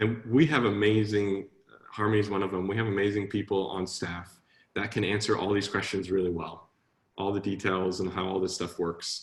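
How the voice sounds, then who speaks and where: A man's somewhat breathy voice stays fairly low in pitch, his intonation fairly even. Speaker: coding instructor. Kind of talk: online class Q&A. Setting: live online class. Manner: fast talker.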